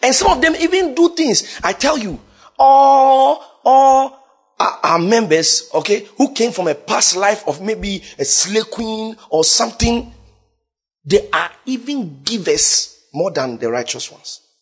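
An extremely high-pitched male voice, very slow pace and very wide swings in pitch. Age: young. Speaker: preacher. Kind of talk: sermon. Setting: church. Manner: animated.

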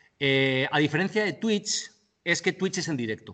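A man's pitch swings very widely as he speaks. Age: 30s. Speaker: digital media and eSports expert. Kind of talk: interview.

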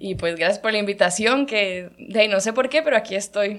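At a moderate pace, a woman is talking. Her pitch is medium. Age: 20s. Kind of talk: personal faith testimony.

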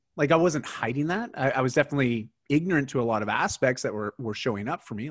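A man with a Canadian accent talks at a fairly quick pace in a medium-pitched voice. His intonation is lively, and the background is quiet. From Canada. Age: 40s. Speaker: lifestyle coach and keynote speaker. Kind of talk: casual interview. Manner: halting, many repeated words.

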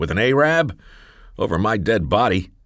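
A man performs a put-on character voice that is wheezy and breathy, pitched fairly low. His pitch swings very widely as he moves at a moderate pace. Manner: disapproving.

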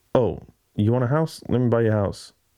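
Fairly quick speech from a man at medium pitch with ordinary pitch variation. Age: 30s. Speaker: podcast host and videographer. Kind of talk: solo casual monologue. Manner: rambling, halting.

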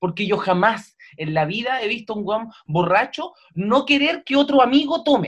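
Speaking with a Chilean accent, a man with a high pitch makes very wide pitch swings. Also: moderate pace. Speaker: comedian. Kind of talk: casual chat.

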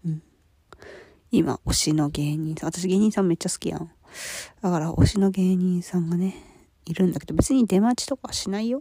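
Speaking at a fairly quick pace with long, frequent pauses, a woman has a somewhat breathy, medium-pitched voice with ordinary pitch variation and a dry, close sound with no echo. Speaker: solo podcaster. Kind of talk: casual solo monologue. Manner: apologetic, casual, laughs often.

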